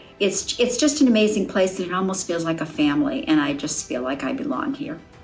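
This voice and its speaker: A woman's medium-pitched voice with audible room echo and noticeable background noise. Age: 70s. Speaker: gym client. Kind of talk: testimony.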